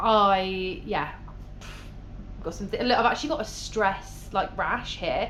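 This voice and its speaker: A woman talks at a moderate pace with an English accent. Room echo is audible. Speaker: travel vlogger. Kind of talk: casual vlog talk to camera.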